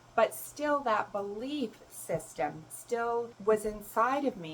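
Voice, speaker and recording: Amid noticeable background noise, a woman speaks very slowly with lively intonation. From Canada. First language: German. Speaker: self-love coach and spiritual mentor. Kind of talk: personal advice talk to camera.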